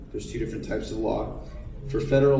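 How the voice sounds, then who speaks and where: Noticeable background noise surrounds this male speaker. The room also gives off audible echo. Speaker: attorney, panelist. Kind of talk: panel talk. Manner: fast; halting, many fillers.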